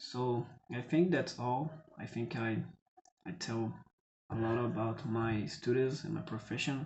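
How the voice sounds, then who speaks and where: A man speaks fairly slowly in a somewhat breathy voice. His speech has long, frequent pauses. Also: medium pitch for a man, ordinary pitch variation. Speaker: metalworker and IT student. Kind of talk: casual vlog monologue. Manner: halting, with hesitations.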